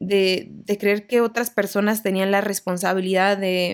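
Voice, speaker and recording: A woman speaks at medium pitch and a fairly slow pace. The recording is very clean with a silent background. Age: 20s. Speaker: podcast host. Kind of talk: personal monologue. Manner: casual, conversational.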